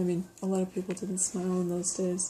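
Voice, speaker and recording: Soft-spoken and somewhat breathy, this woman has a dark, mellow tone. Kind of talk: ASMR show and tell.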